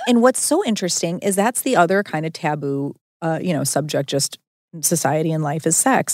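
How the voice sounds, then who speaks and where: A woman talks fairly quickly in a plain, everyday voice. Her pitch sits fairly low, and her intonation is lively. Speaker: podcast host. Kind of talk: casual chat.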